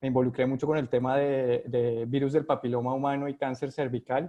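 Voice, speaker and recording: Monotone, flat delivery from a man with a Colombian accent. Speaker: epidemiologist, vaccine research director. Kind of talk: video call interview. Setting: video call from home. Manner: halting, many fillers.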